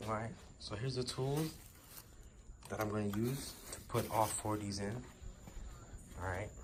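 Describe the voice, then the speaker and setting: With audible room echo, a man speaks at a moderate pace and fairly low pitch, with ordinary pitch variation and long, frequent pauses. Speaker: car enthusiast vlogger. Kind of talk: casual vlog tutorial. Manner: whispering, quiet; casual, filler-heavy.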